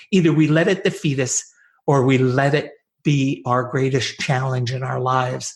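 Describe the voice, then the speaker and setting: Speaking with an American accent, a man at a medium pitch sounds somewhat breathy, with ordinary pitch variation and a moderate pace. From upstate New York. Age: 70s. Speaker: podcast host. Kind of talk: interview.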